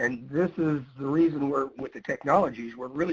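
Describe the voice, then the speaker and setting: This man has a plain, everyday voice with a fairly high pitch. He speaks at a moderate pace. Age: 60s. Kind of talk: webinar presentation.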